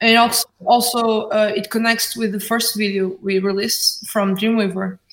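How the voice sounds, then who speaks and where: A woman with a Portuguese accent speaks at a moderate pace, her fairly high pitch following fairly even intonation. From Portugal, Porto. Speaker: indie band musician. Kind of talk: interview. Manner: halting.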